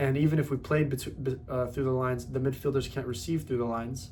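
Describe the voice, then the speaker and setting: A man speaks at a medium pitch with ordinary pitch variation. His tone is animated. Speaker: football fan video creator. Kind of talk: casual football talk monologue. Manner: fast.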